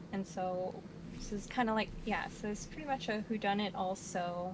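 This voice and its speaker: A woman speaks at a fairly slow pace. Noticeable background noise runs under her voice. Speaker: book reviewer. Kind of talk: casual chat. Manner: halting.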